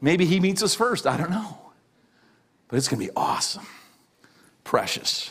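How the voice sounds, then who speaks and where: A high-pitched man at a moderate pace, with long, frequent pauses and a quiet background. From Canada. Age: 50s. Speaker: pastor. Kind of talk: sermon. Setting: church. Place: church.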